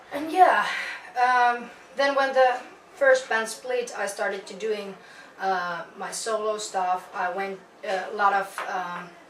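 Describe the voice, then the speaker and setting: Speaking very slowly, a woman is heard with noticeable background noise and audible echo in the room. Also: ordinary pitch variation. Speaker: metal vocalist. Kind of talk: interview. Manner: halting.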